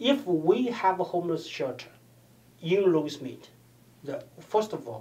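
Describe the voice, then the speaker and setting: A man with a Chinese accent and a high pitch speaks at a moderate pace, with very wide pitch swings, big swings in loudness, and long, frequent pauses. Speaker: political candidate. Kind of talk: interview. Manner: halting, with frequent repetitions.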